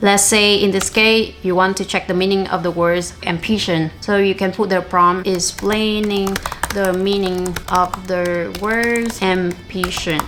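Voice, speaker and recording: A woman's medium-pitched voice with a Vietnamese accent, fairly slow yet with hardly any pauses, flat and monotone, at very even loudness over noticeable background noise. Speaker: language learning youtuber. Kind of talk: tutorial.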